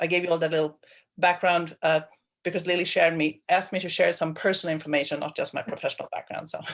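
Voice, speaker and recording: A woman speaks with a Swedish accent at a fairly low pitch. Her intonation stays fairly even. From Sweden. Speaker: water planning manager. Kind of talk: meeting self-introduction. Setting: video call.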